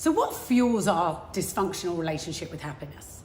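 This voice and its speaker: In a southern English accent, a woman talks with an animated tone and lively intonation at a moderate pace, with audible room echo. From England, London. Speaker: motivational speaker.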